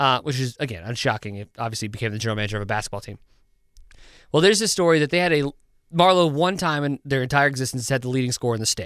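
On a very clean recording with a silent background, a man speaks at a very fast pace and medium pitch. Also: lively intonation. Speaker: podcast co-host. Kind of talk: casual chat. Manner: rambling, filler-heavy.

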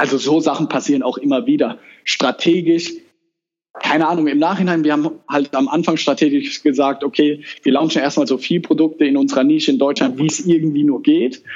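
A man talks at a fairly quick pace and fairly high pitch with fairly even intonation. He has an unremarkable speaking voice. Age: 20s. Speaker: entrepreneur. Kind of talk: interview. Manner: casual.

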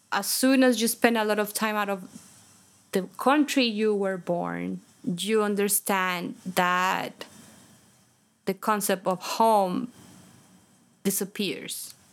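Speaking very slowly with a Spanish accent, a woman uses a medium pitch and leaves long, frequent pauses. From Colombia, Bogota. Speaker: composer. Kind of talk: interview. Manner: animated.

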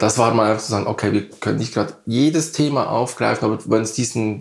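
In a very clean recording with a silent background, a man speaks at a medium pitch with vocal fry. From Switzerland, Bern area. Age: 50s. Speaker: artist. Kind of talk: interview. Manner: halting.

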